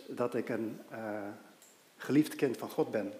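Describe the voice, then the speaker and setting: A man with an unremarkable speaking voice talks at a fairly slow pace, his pitch varying in an ordinary way. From Aruba. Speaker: lay preacher. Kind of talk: sermon.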